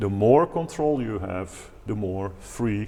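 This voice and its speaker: With a Dutch accent, a man talks at a medium pitch and with ordinary pitch variation. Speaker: organist and improvisation teacher. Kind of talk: tutorial. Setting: at a pipe organ.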